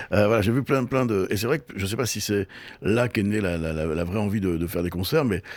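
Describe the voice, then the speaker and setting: Very fast, lively speech from a man with a fairly low pitch. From Brittany, France (Brest). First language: Breton (speaking French). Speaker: TV and festival producer. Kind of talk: interview. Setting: on location in Brittany. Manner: hesitant, many repetitions.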